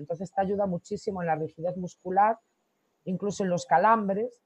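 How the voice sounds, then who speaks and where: This woman talks at a very fast pace. Her pitch sits in the medium range. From Galicia, Costa da Morte (Corcubión). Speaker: product founder. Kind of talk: interview.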